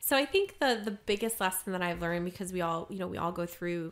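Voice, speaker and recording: A woman with an American accent at medium pitch, on a very clean recording with a silent background. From US, Maryland. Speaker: occupational therapist and singer-songwriter. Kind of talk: casual interview. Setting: studio.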